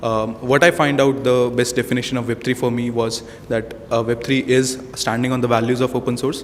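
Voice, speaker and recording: Over noticeable background noise, a man speaks at a fairly quick pace in a medium-pitched, monotone, flat voice. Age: 20s. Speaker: hackathon participant. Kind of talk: self-introduction at event. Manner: halting.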